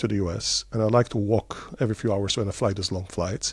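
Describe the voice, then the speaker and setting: In an Israeli accent, the speaker talks at a very fast pace with a somewhat breathy sound. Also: man, very clean recording, silent background. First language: Hebrew. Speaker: tech company CEO. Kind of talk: interview. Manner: halting with many fillers.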